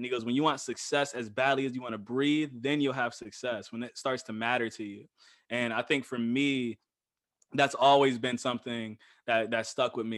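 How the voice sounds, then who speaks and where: A man talks in an unremarkable speaking voice at a medium pitch with fairly even intonation. The background is quiet. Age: 20s. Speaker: podcast guest, host's husband. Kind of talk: casual interview.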